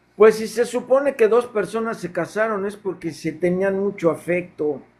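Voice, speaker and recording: With a Mexican accent, a man speaks at a high pitch and with ordinary pitch variation. His tone is dark and mellow. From Mexico, Yucatán (Mérida). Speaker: caller, devotee. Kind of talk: casual chat. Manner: halting, with fillers.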